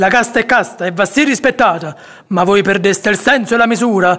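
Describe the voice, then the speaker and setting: Fairly quick male speech, ordinary pitch variation, noticeable background noise behind it. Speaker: actor. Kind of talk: poetry reading.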